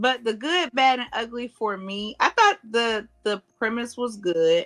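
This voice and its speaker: Loud and bright, with a sharp tone, a woman speaks at a fairly slow pace in a fairly high voice with ordinary pitch variation, recorded dry and close with no echo. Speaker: podcast co-host. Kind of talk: casual chat.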